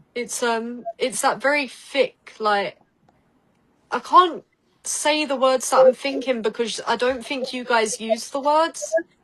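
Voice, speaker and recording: A high-pitched woman with a British accent, at a very slow pace. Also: ordinary pitch variation. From Essex, England. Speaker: psychic. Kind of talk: card reading in casual podcast chat.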